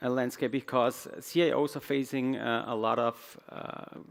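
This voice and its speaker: A medium-pitched man with a German accent and fairly even intonation. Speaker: IT executive. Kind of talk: conference talk. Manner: halting.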